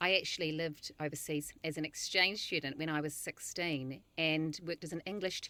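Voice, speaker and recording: Speaking at a fairly quick pace with hardly any pauses, a woman with a New Zealand accent has a very deep, low voice, a bright, sharp tone and fairly even intonation. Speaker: nutritionist. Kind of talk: interview.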